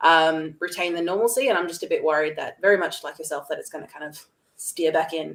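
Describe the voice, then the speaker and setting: A woman with an Australian accent speaks at a very fast pace, her loudness swinging widely. Her pitch sits fairly low for a woman and varies in an ordinary way. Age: young. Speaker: entrepreneur, video coach. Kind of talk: webinar conversation.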